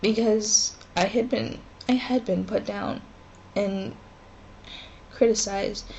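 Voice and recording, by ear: A slow, medium-pitched woman's voice with fairly even intonation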